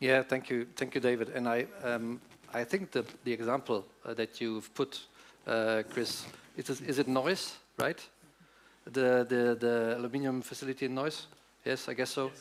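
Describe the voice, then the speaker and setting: A man with a German accent, medium pitch, fairly even intonation, a moderate pace and long, frequent pauses. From Germany. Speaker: politician. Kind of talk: panel debate. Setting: conference stage with audience. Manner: halting, many fillers.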